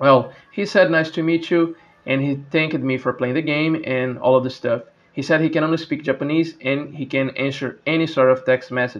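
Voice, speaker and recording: A man with a fairly high pitch keeps his intonation fairly even at a moderate pace. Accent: Brazilian. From Brazil. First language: Portuguese. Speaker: gaming YouTuber and speedrunner. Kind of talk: casual vlog narration. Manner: hesitant, repeats words.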